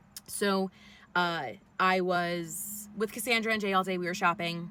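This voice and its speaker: A woman speaks loudly in a New York accent. Her tone is bright and sharp. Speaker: vlogger. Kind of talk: personal storytelling vlog. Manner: casual, many fillers.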